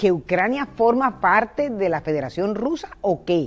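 Here a woman is talking. Her voice rises and falls across a very wide range. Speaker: presenter. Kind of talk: history narration to camera. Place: garden. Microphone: lapel.

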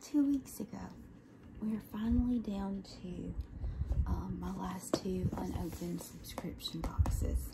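A soft-spoken woman at a fairly slow pace over loud background noise. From Southern United States. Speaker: ASMR unboxing creator. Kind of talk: ASMR unboxing show and tell. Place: home room. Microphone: phone near.

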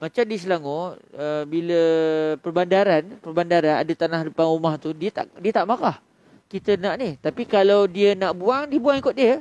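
Pitched high, a man with a Malaysian accent speaks at a moderate pace with lively intonation, the sound dry with no echo. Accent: Malaysian Malay. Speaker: Islamic preacher. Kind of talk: religious lecture. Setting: surau, after dawn prayer. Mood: calm, warm teaching tone. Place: hall. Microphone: headset.

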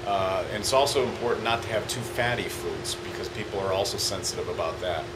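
A man talks while loud background noise fills the recording. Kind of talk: interview answer. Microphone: phone near.

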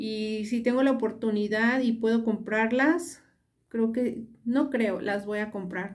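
A woman's fairly high voice at a very slow pace, set against a quiet background. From Mexico. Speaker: beauty vlogger. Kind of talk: tutorial. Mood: relaxed, pleased. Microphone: phone near.

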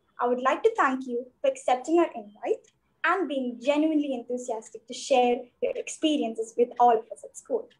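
A woman speaks at a moderate pace. Her pitch is high, with ordinary variation. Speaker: student host. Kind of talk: formal introduction. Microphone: video call.

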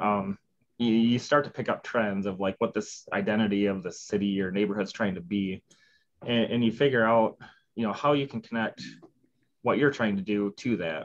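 A man with a fairly low voice and a strong Midwestern accent. He talks at a moderate pace with fairly even intonation. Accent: heavy Midwestern. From Midwestern US. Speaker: civil engineer. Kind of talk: interview answer. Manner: casual, conversational. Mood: relaxed, candid, amused. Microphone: video call.

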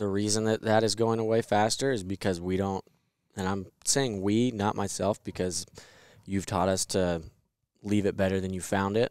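A man's normal speaking voice, fairly low in pitch, with fairly even intonation at a moderate pace, in a dry sound with no echo and a quiet background. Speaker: podcast co-host. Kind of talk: podcast discussion. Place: studio. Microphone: headset.

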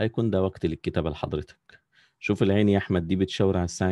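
A man's very deep, low voice with a dark, mellow tone, moderate pace and monotone, flat intonation, dry and close with no echo against a quiet background. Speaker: calligraphy teacher. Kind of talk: online class tutorial. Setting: video call.

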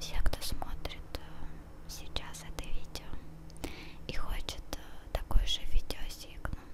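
Against loud background noise, a soft-spoken woman whispers at a very slow pace. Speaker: streamer. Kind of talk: casual live stream chat. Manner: soft close-mic ASMR whisper. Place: home room. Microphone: handheld.

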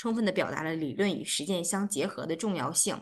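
Her pitch varies in an ordinary way as the woman talks at a medium tempo. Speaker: organizer host. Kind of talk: closing remarks. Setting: video call. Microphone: video call.

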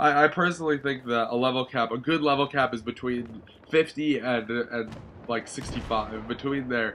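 A man's medium-pitched voice, bright and sharp in tone, with fairly even intonation at a moderate pace. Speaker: gaming YouTuber. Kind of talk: casual video commentary. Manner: casual, swears often; hesitant, many fillers.

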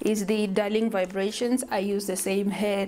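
Faint music plays behind a woman speaking at a moderate pace. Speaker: hair vlogger. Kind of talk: tutorial.

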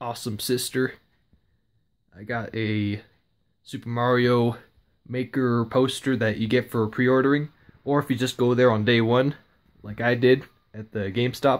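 A man talks at a moderate pace with monotone, flat intonation. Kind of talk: casual vlog chat. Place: home room. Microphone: phone near.

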